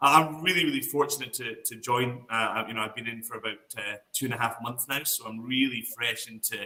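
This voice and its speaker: Speaking fairly quickly with hardly any pauses, a man with a Scottish accent has a bright, sharp tone, medium pitch, fairly even intonation and big swings in loudness. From Scotland. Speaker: whisky brand ambassador. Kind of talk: online class.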